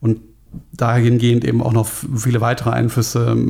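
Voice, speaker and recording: A man's somewhat breathy, medium-pitched voice, fairly quick, with a dark, mellow tone. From Germany, Frankfurt. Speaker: metal bassist. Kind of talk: podcast interview.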